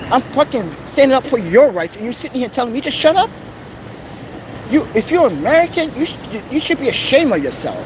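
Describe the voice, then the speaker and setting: Extremely high pitch for a man, very wide pitch swings, a fairly quick pace and noticeable background noise. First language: not English. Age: 40s. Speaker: vlogger. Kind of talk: angry rant. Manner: loud; animated.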